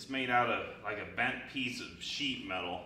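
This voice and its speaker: A man's fairly slow speech with audible room echo and light background noise. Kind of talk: tutorial. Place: workshop. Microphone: camera far.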